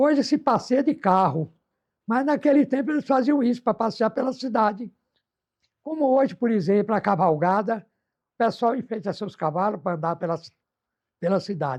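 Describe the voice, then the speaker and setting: Against a quiet background, a man with a high pitch and lively intonation speaks at a moderate pace, leaving long, frequent pauses. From Brazil, Bahia (Miguel Calmon). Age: 80s+. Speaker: elderly local resident recalling town history. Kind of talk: oral history interview. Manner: halting, frequent repetitions.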